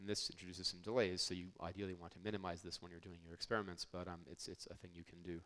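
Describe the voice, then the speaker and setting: Speaking at a very fast pace, a man uses a very deep, low pitch with fairly even intonation. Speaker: network engineer presenter. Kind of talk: conference technical talk.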